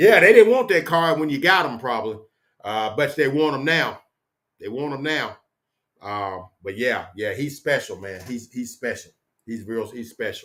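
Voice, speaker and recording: A man with a fairly high voice speaks loudly at a moderate pace. His pitch swings very widely. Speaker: sports fan YouTuber. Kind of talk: casual solo livestream chat. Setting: home office. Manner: casual, rambling with fillers.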